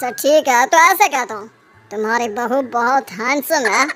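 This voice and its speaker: A woman speaks in a cartoonish character voice. Her pitch is high, and she keeps a moderate pace. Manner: rough, blustering.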